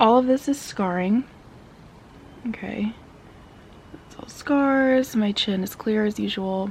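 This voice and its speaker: Quiet and somewhat breathy, the speech moves at a very slow pace with long, frequent pauses, big swings in loudness and ordinary pitch variation. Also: woman, fairly high pitch for a woman. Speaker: beauty vlogger. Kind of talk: casual product review vlog. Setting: at home. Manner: talking quietly; casual, filler-heavy.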